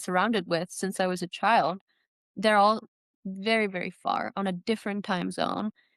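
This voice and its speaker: The recording is dry and close with no echo, over a quiet background. A woman speaks at a medium pitch and moderate pace. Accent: Czech. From Czech Republic (Prague). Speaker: trail runner. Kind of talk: podcast interview. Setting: video call.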